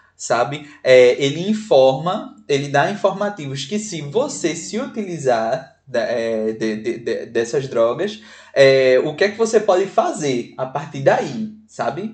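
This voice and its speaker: A man with a Pernambuco accent speaks very slowly with hardly any pauses, his somewhat breathy voice set at a fairly high pitch and swinging very widely. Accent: Pernambuco northeastern Brazilian. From Pernambuco backlands, Salgueiro. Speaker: podcast co-host. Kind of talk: casual chat.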